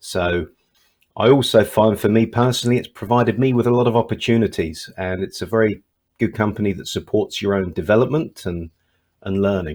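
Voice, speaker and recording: With a British accent, a man talks at a fairly quick pace, his medium pitch showing ordinary variation. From England. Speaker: test company regional manager. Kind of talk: online panel discussion.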